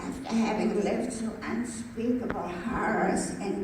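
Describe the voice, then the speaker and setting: A woman talks very slowly with noticeable background noise around her. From Germany. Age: 80s+. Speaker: Holocaust survivor. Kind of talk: reading a personal memoir account aloud.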